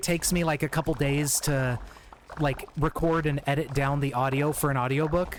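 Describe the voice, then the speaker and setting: Over noticeable background noise, a man speaks in a fairly high pitch with fairly even intonation. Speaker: video game streamer. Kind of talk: casual chat. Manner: informal, fast; halting.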